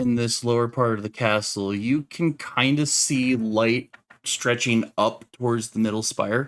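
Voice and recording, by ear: With ordinary variation in pitch, the text is read aloud in a natural voice.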